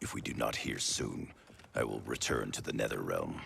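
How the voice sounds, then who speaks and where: A man's growling, put-on character voice at a moderate pace. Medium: video game. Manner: tense, commanding.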